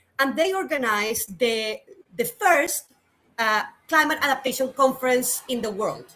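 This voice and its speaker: Raised and projected, a woman's high-pitched voice carries lively intonation over music in the background. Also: moderate pace. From Colombia. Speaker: climate adaptation specialist. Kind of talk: interview. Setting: studio.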